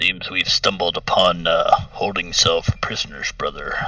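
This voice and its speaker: With light background noise, a man uses a raspy, put-on character voice. His pitch is extremely high. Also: moderate pace. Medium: actual play. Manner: measured, musing, often opens with a thoughtful hum.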